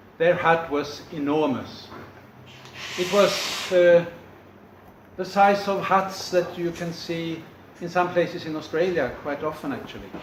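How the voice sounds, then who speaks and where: A man with a high voice speaks at a fairly slow pace, leaving long, frequent pauses. His intonation stays fairly even over noticeable background noise. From Sweden. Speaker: storyteller. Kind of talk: storytelling, folktale performance to an audience.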